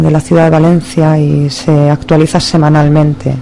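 Fairly slow speech from a woman, noticeable background noise throughout. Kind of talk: poetry reading, intense.

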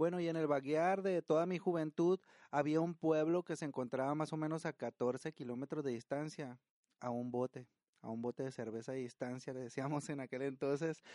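A man talks at a moderate pace and fairly high pitch, with ordinary pitch variation and a dark, mellow tone. The background is quiet. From Sinaloa, Mexico. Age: 40s. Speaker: podcast host. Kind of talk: casual storytelling and cooking tutorial. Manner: halting, frequent repetitions.

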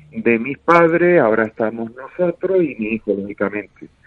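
Moderately paced, a man's speech moves through very wide pitch swings. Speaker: sponsor, father of a sailor. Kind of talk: casual chat.

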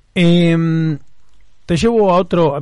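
A man with a Rioplatense accent. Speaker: podcast host. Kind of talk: casual interview.

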